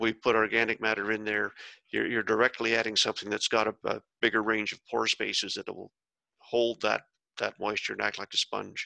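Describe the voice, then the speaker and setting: A man with an Ontario accent, fairly low in pitch with vocal fry, in a bright, sharp tone and monotone, flat intonation, in a dry, close sound with no echo. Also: quiet background. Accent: Ontario Canadian. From Bruce County, Ontario, Canada. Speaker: soil scientist and author. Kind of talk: explanatory interview.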